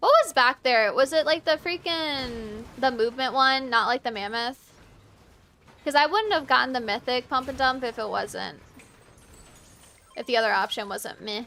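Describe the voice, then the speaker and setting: With an American accent, a woman speaks in a raised, projected voice at a high pitch, with ordinary pitch variation, a moderate pace, and long, frequent pauses. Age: 20s. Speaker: video game streamer. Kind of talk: casual chat during live gameplay stream.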